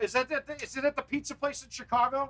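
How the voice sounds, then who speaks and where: An extremely high-pitched man speaks in a raised, projected voice. His tone is animated. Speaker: gaming live streamer and pro arcade golf player. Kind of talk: casual live stream gameplay commentary. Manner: loud.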